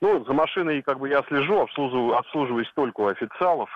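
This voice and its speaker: A man's medium-pitched voice at a moderate pace. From Moscow region, Russia. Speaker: caller. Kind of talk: phone-in comment. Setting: phone call. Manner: opinionated.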